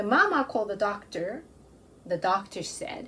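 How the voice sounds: A woman's medium-pitched voice, slow in pace, bright and sharp in tone, with big pitch swings.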